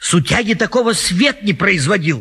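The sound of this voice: Using a put-on character voice, a man speaks high with a husky, rough edge, a bright, sharp tone, big pitch swings and a moderate pace.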